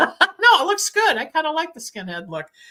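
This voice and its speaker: A woman's raised, projected voice. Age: 70s. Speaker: podcast host and psychic. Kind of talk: interview.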